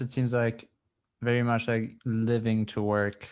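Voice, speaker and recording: A man speaks with a German accent at a fairly slow pace and medium pitch. The recording is very clean, with a silent background. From Germany. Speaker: podcast host, student. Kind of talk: casual interview conversation.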